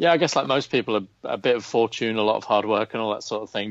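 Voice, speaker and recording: Very fast speech in a man's fairly low voice, pitch moving in an ordinary way. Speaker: golf betting writer. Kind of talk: podcast interview.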